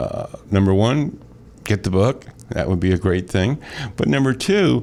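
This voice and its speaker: With an American accent, a man speaks in a very deep, low pitch. His tone is dark and mellow, and his intonation is lively. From US Midwest, metro-East St. Louis area, Illinois. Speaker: radio host and real estate broker. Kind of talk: radio talk show. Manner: conversational with frequent repetitions.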